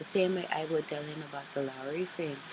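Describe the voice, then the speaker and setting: A woman speaks at a moderate pace with fairly even intonation over noticeable background noise. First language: Filipino. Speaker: craft vlogger. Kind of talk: casual chat. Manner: halting.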